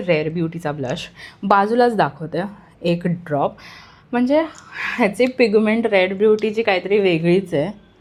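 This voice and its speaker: Here a woman has a plain, everyday voice at a medium pitch with ordinary pitch variation. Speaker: beauty vlogger. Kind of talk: product review vlog.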